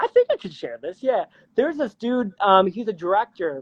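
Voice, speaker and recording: A man's high, animated voice with lively intonation. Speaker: musician and pianist. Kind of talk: casual interview chat.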